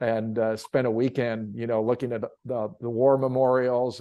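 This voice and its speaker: The intonation is fairly even. It is a plain, everyday voice, at a fairly quick pace. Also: man. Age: 60s. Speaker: author and leadership coach, grandfather. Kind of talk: interview conversation.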